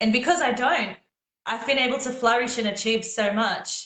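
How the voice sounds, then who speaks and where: A woman speaks with an Australian accent. Her pitch sits fairly high, and her pace is fairly quick. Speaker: singer. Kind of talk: casual chat.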